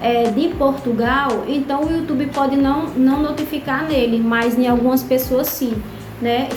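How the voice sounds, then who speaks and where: With music in the background and audible room echo, a woman speaks at a fairly slow pace in a high pitch with monotone, flat intonation. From Brazil. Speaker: vlogger. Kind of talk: casual vlog monologue.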